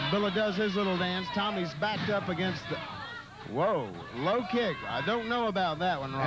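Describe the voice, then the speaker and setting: A man speaks at a moderate pace with a high pitch. Music plays in the background. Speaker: wrestling color commentator. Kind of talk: live wrestling color commentary. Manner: partisan, cheering on a favored wrestler.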